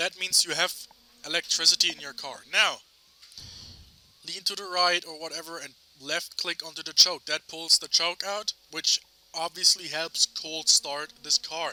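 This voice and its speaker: A man speaks at a high pitch with a bright, sharp tone and monotone, flat intonation. His moderate pace is broken by long, frequent pauses, and his loudness swings widely. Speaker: video game tutorial creator. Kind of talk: tutorial. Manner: halting.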